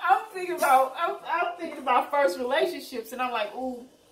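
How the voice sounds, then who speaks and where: A woman's animated tone at a fairly quick pace, with audible room echo and noticeable background noise. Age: 40s. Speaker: video podcast co-host. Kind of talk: casual chat.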